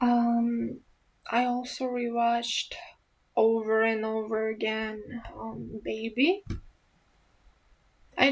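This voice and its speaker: A woman with an Eastern European accent speaks at a very slow pace, her pitch fairly high. Long pauses come often. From Romania. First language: Romanian. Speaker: ASMR youtuber. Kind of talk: casual Q&A chat. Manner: hesitant, many fillers.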